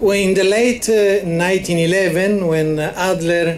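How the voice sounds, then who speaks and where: There is noticeable background noise and audible room echo as a man talks fairly slowly. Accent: Italian. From Italy. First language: Italian. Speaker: psychology association representative. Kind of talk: memorial speech. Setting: ceremony with audience. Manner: halting, many hesitations.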